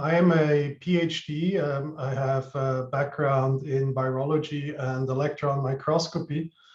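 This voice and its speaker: A man with a Swiss accent speaks in a flat monotone with hardly any pauses. His fairly high voice sounds somewhat breathy. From Switzerland. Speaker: research scientist. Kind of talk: panel introduction.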